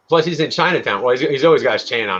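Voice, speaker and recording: Talking very quickly, a man speaks with an American accent. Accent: slight Long Island accent on certain words. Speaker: podcast host. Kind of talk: casual chat.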